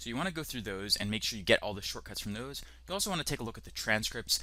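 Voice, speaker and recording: The recording is very clean, with a silent background. A man's tone is bright and sharp at a medium pitch. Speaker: online course instructor. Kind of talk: tutorial. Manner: fast.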